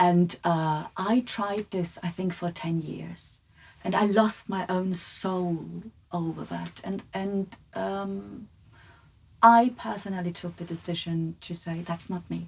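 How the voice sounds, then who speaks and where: A somewhat breathy woman's voice at a very slow pace. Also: fairly low pitch for a woman, fairly even intonation. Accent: German. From Germany. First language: German. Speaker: psychologist and lecturer. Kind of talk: podcast conversation. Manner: direct.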